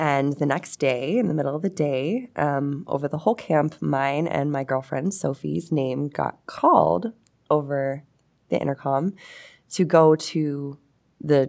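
A woman speaks in an American accent with a very deep, low pitch and ordinary pitch variation. She talks at a fairly slow pace on a very clean recording with a silent background. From Pittsburgh area, Pennsylvania. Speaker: energy company worker. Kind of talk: casual interview. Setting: studio.

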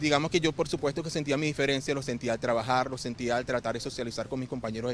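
A man talks in a fairly high pitch. His intonation stays fairly even. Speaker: real estate advisor with Asperger's. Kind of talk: interview testimony.

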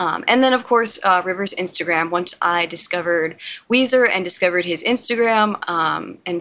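A woman with an American accent, medium pitch, lively intonation and a moderate pace, over noticeable background noise. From US South, Georgia. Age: 20s. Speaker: veterinary technician and film student. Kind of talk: casual chat. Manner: hesitant, many fillers.

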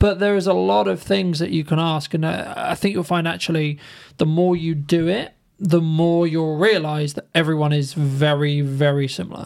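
This is a normal speaking voice at a moderate pace. The pitch shows ordinary variation. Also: man, fairly high pitch for a man. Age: 20s. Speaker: content creator and podcaster. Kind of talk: casual chat.

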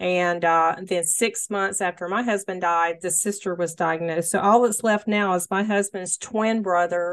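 A woman talks at a moderate pace in a fairly low, unremarkable speaking voice. Her intonation stays fairly even against a quiet background. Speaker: podcast host. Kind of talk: interview. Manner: warm, empathetic.

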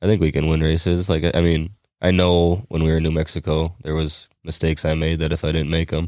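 A man with an American accent and a very deep, low pitch, monotone and flat, at a fairly quick pace and very even loudness, in a very clean recording with a silent background. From Minnesota. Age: 20s. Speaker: racing driver. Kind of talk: casual chat. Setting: studio.

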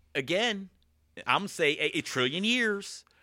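A man is speaking. His tone is bright and sharp. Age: 30s. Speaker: gym staff member. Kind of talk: casual chat.

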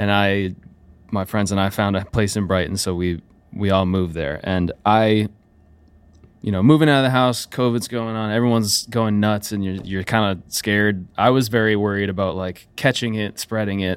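A man speaks at a moderate pace with an American accent, his pitch fairly low. It is a normal speaking voice in a very clean recording with a silent background. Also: fairly even intonation. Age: 20s. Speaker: musician and producer. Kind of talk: casual interview. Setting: studio.

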